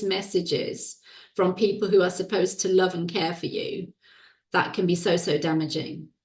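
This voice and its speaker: Ordinary pitch variation marks this woman's somewhat breathy voice. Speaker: women's well-being coach and author. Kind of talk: interview conversation. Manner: slow, deliberate.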